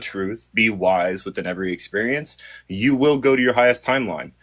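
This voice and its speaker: Here a man speaks in an unremarkable speaking voice. His intonation is lively, and the recording is very clean with a silent background. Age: 30s. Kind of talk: casual chat.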